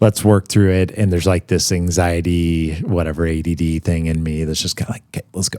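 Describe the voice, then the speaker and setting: A man's very deep, low voice with a dark, mellow tone, fairly quick and with hardly any pauses, fairly even intonation, and a dry, close sound with no echo on a very clean recording with a silent background. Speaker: podcast host. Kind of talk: casual chat. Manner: fast.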